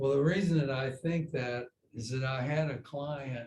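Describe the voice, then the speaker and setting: A man's medium-pitched, somewhat breathy voice carries fairly even intonation. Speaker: yoga teacher. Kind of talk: casual chat. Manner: slow.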